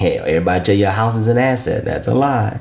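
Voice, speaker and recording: The speaker has an American accent. Room echo is audible. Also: man. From US South, Lafayette, southern Louisiana. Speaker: business funding educator. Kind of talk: online teaching talk. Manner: animated; repetitive.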